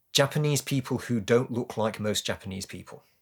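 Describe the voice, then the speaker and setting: Ordinary pitch variation shapes a man's speech in a British accent. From UK. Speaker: naturalized citizen. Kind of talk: interview.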